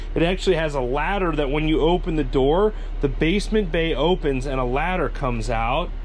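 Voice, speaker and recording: An ordinary speaking voice, this man has a fairly high pitch and ordinary pitch variation. He talks at a fairly quick pace with light background noise. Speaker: RV YouTuber. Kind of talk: casual walkthrough video. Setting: outdoors then inside an RV. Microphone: phone near.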